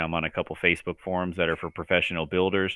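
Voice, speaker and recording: A man with a very deep, low voice mumbles at a very fast pace. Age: 30s. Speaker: transmission builder and racer. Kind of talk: casual chat. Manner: mumbling.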